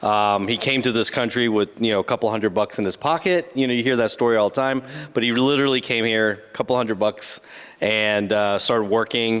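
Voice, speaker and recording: The man's pitch is medium, with ordinary variation. He moves at a fairly quick pace, his loudness very even. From Houston, Texas (immigrant, early childhood in New York Chinatown). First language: Chinese. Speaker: investor and entrepreneur. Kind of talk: interview. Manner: hesitant, many fillers.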